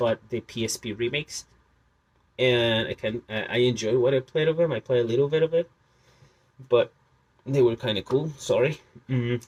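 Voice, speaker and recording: Close and dry with no echo, a man's medium-pitched voice moves at a moderate pace with fairly even intonation, in a Spanish accent. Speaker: video game collector. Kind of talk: casual collection showcase. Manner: halting, many fillers.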